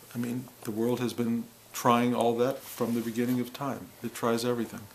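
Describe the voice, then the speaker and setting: Light noise hums in the background. Over it, a man speaks at a moderate pace. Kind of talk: reflective spiritual monologue. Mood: calm, wry, humorous. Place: home room.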